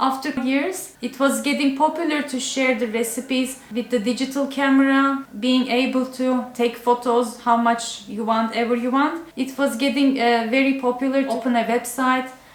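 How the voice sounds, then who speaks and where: With a Turkish accent, a woman speaks at a high pitch and a moderate pace, in a monotone, flat delivery. She hardly pauses, and noticeable background noise is present. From Turkey. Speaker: cooking YouTuber. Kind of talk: casual Q&A video talk. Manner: halting, with fillers.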